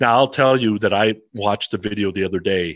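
Fairly low in pitch with ordinary variation, a man speaks at a moderate pace in a dry, close sound with no echo and a quiet background. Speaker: rock podcaster. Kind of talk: casual chat.

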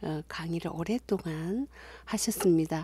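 A woman's fairly low voice, dark, mellow and warm in tone, on a very clean recording with a silent background. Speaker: university lecturer in music. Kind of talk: video introduction. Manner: warm and friendly.

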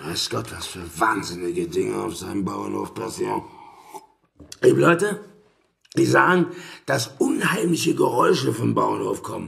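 A man speaks in a raspy, put-on character voice at a moderate pace, his loudness swinging widely and his speech broken by long, frequent pauses. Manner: blunt, agitated.

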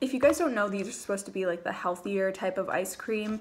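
The speaker is a woman. Ordinary pitch variation runs through her voice. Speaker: vlogger. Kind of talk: casual vlog chat. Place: kitchen. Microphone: phone near.

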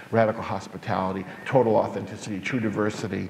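A man with an American accent, fairly low in pitch, monotone and flat, with light background noise and audible room echo. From New York. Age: 40s. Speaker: pastor. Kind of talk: public talk. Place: church. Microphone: handheld.

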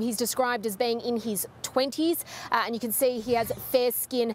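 At a moderate pace, a woman with a high pitch and fairly even intonation speaks in a dry sound with no echo over light background noise. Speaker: news reporter. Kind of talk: live news report. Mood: serious, measured. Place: street. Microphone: handheld.

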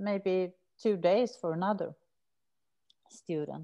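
A woman's dark, mellow voice with a Swedish accent, very slow pace, ordinary pitch variation and a quiet background. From Sweden. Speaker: researcher and prison maths teacher; teacher. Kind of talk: academic seminar talk. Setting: video call. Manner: hesitant with fillers. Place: home room. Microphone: webcam.

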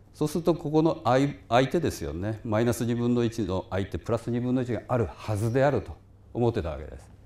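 A man of medium pitch speaks at a fairly quick pace with lively intonation and a dark, mellow tone. His voice has vocal fry and big swings in loudness. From Japan. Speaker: physics professor. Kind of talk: lecture. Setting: lecture hall with small audience, livestreamed. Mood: relaxed, reminiscing. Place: hall.

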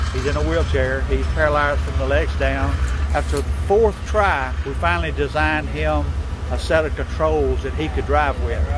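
The voice is monotone and flat, moving at a moderate pace. The sound is dry with no echo, and there is noticeable background noise. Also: man, very deep, low pitch for a man. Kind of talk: interview answer. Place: street. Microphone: phone near.

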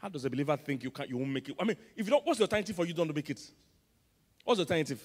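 A man talks at a very fast pace in an animated tone. The background is quiet. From Nigeria. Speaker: pastor. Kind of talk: sermon. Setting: church. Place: church. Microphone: handheld.

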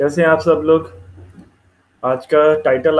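The man talks at a fairly slow pace. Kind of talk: lecture. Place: home room. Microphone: earbuds.

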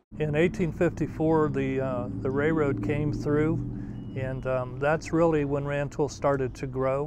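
A man with an American accent talks at a very slow pace in a fairly high voice with fairly even intonation. The sound is dry with no echo, though background noise is noticeable. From US Midwest, central Illinois. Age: 70s. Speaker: local resident. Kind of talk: interview. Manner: halting. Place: street. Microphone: lapel.

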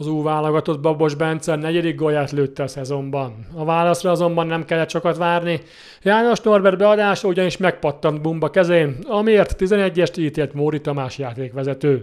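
A man with a plain, everyday voice and a fairly high pitch. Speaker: sports news reporter. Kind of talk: news reading. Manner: formal.

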